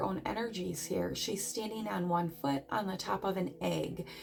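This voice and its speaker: Music plays in the background as a woman speaks at a medium pitch and a fairly slow pace. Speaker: tarot reader. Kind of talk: tarot reading.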